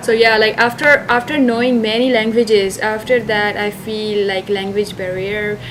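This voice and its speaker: A woman's fairly high voice with a Sindhi accent, fairly even intonation, hardly any pauses and noticeable background noise. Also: moderate pace. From Pakistan. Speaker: international student. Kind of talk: interview.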